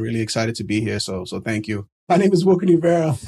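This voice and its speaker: A man's somewhat breathy, dark, mellow voice at a medium pitch, in an American accent, with lively intonation and a very fast pace. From New York City. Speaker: developer community organizer. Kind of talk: interview.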